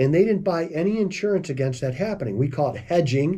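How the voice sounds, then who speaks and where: A man talks at a fairly quick pace with lively intonation. His tone is dark, mellow, and somewhat breathy. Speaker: financial advisor, radio host. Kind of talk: financial commentary video. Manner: casual, conversational.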